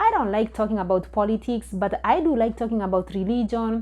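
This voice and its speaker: A woman with a Kenyan accent, against a quiet background. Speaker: vlogger. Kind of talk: storytelling. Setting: recording alone at home.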